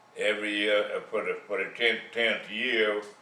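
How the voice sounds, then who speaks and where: The room gives off audible echo. Within it, a man talks at a moderate pace. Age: 80s+. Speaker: retiree sharing life advice. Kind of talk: monologue.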